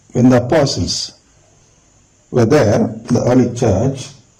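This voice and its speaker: The voice belongs to a man. There is audible room echo around it. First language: not English. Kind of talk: religious teaching talk.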